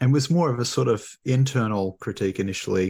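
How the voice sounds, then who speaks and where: In a very clean recording with a silent background, a man with an Australian accent speaks at a medium pitch with ordinary pitch variation. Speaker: theology professor. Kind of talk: interview.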